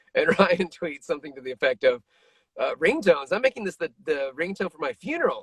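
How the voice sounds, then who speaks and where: This is a man speaking. He has a plain, everyday voice. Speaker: voice actor. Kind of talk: interview answer. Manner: casual, joking.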